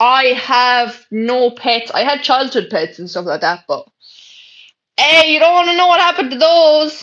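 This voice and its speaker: A woman speaks in an Irish accent at a high pitch. Her pitch swings very widely against a quiet background. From Ireland. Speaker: livestreamer. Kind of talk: casual chat. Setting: bedroom.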